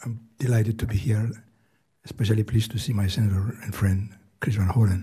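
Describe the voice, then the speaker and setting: A man's fairly low, somewhat breathy voice with a dark, mellow tone, fairly even intonation and a Greek accent. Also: fairly quick pace. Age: 80s+. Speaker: retiree testifying at a hearing. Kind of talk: testimony. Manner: halting.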